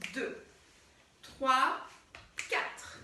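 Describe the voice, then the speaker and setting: A woman uses a raised, projected voice with audible room echo. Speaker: dance teacher. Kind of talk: tutorial.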